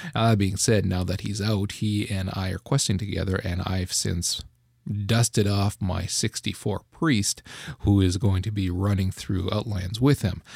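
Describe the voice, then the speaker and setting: A somewhat breathy man speaks at a moderate pace. His intonation stays fairly even. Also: fairly low pitch for a man. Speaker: gaming podcast host. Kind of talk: casual chat.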